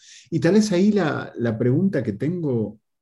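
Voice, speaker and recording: A man speaks with a somewhat breathy, dark, mellow tone. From Argentina, Tigre (Buenos Aires area). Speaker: podcast host. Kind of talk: casual interview. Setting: video call.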